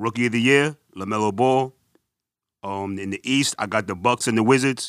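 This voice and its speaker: A New York accent with fairly even intonation, dry, close sound with no echo, and a very clean recording with a silent background. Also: man. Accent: New York (Bronx). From New York, the Bronx. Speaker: basketball podcast co-host. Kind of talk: casual chat.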